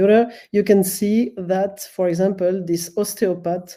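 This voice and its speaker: A woman's medium-pitched voice, dark and mellow in tone, at a very slow pace with a French accent. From French-speaking Switzerland. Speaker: professor. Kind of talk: conference presentation. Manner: halting, many fillers.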